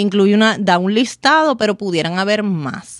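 Speaking at a fairly slow pace in a Puerto Rican accent, a woman with a medium pitch is heard in a very clean recording with a silent background and a dry, close sound with no echo. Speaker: lawyer and podcast host. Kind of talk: solo legal explainer podcast. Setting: studio. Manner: conversational.

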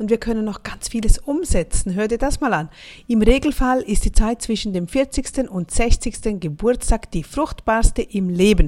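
A woman speaks in a fairly high pitch with lively intonation at a fairly slow pace. Her loudness swings widely. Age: 40s. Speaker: motivational podcaster. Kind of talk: motivational monologue.

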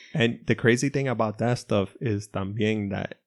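A man with a normal speaking voice talks at a moderate pace in a fairly low pitch, his intonation fairly even, over a quiet background with a dry, close sound and no echo. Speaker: podcast co-host. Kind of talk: casual chat. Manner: joking, playful.

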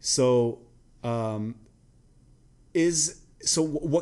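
The speaker is a man with a medium-pitched voice. His intonation is lively. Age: 30s. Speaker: podcast host. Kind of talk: casual chat. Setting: in a clothing store.

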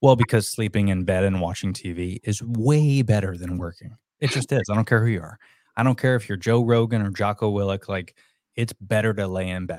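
A man's unremarkable speaking voice, fairly low in pitch with ordinary variation, at a fairly quick pace on a very clean recording with a silent background. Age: 30s. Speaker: content creator and podcast coach. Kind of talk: casual chat.

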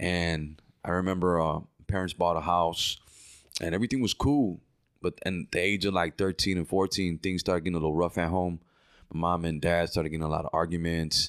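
On a very clean recording with a silent background, a man with a very deep, low pitch talks at a fairly quick pace with fairly even intonation and very even loudness. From Chicago, northwest side. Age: 30s. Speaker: pastor. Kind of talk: testimony.

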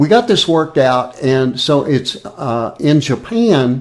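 Lively intonation marks the fairly high-pitched, unremarkable speaking voice of a man. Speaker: podcast host. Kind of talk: casual interview chat.

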